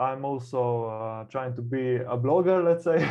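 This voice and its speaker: A man speaks with a Slovenian accent. His voice sits at medium pitch. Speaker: burnout coach. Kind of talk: interview. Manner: halting, many fillers.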